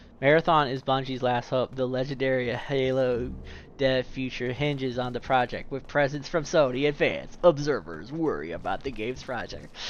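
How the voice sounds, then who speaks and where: Delivered at a moderate pace over clear background noise, this put-on character voice sounds robotic. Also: man, medium pitch for a man. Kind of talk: formal news summary. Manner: robotic, flat.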